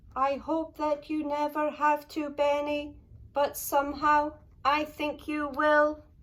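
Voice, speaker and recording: A female-sounding voice puts on a character voice with a high pitch. The delivery is fairly slow, with monotone, flat intonation. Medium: read story.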